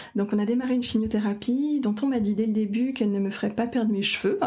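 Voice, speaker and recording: Noticeable background noise sits behind a woman speaking at a fairly quick pace. Her medium pitch shows ordinary variation. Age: 30s. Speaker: cancer patient, sustainability engineer. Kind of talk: testimony. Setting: at the host's home.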